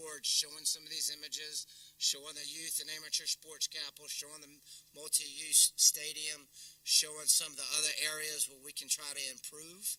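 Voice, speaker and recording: A man with a North Carolina accent talks at a moderate pace. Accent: US Southern, North Carolina. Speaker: keynote speaker, downtown development executive. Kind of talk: luncheon keynote talk. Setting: luncheon audience, also streamed.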